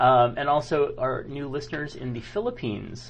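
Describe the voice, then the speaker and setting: A man's voice moves at a moderate pace, with audible room echo around it. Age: 40s. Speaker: podcast co-host. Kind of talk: casual chat.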